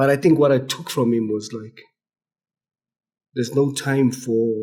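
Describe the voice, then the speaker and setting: This man has a dark, mellow tone. His intonation stays fairly even. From South Africa. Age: 30s. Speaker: addictions specialist. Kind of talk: casual chat. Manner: halting.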